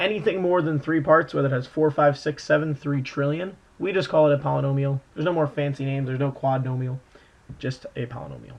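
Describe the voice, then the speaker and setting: Here a man speaks at a very fast pace. His pitch is fairly high, with ordinary variation. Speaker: math teacher. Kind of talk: tutorial.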